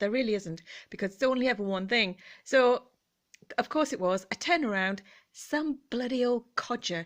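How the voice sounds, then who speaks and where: On a very clean recording with a silent background, a woman with an English accent speaks in a high pitch at a moderate pace, her tone animated and her intonation lively, with long, frequent pauses. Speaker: vlogger. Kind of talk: casual chat. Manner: gentle.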